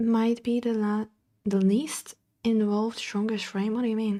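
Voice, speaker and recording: With a non-native accent and a fairly high pitch, a woman speaks at a moderate pace with fairly even intonation in a very clean recording with a silent background. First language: not English. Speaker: streamer. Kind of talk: casual chat. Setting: live stream. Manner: halting.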